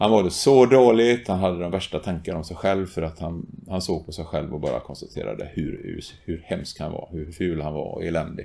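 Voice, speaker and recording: Speaking at a moderate pace with hardly any pauses, a man uses lively intonation in a very deep, low voice with a dark, mellow tone. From Gothenburg, Sweden; Sweden. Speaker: retired teacher and school principal; retired teacher. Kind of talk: testimony. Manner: halting, many repetitions and fillers. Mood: earnest, personal.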